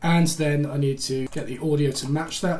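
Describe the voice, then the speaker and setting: Moderate pace amid noticeable background noise. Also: man. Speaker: woodworking video creator. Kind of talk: screen-recorded tutorial. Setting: workshop. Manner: casual, thinking aloud; stutters, messes up sentences.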